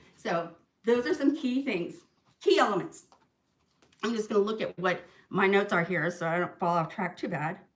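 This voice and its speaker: Speaking at a medium pitch, a woman uses lively intonation and pauses often and at length. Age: 50s. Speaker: tax preparer and insurance agent giving finance tips. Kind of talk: livestream talk. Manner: fast; casual, chatty.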